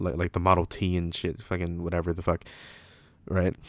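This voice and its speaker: In a Toronto accent, a man speaks in an animated tone at a fairly quick pace, with a dry, close sound with no echo on a very clean recording with a silent background. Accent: Toronto urban English. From Toronto, Canada. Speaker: podcast host. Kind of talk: casual banter chat. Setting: home recording at night. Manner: animated, profane, joking.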